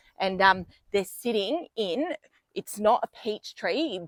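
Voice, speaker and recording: A woman's medium-pitched voice with an Australian accent and ordinary pitch variation, dry and close with no echo. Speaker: vlogger. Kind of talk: casual video tour. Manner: soft-spoken.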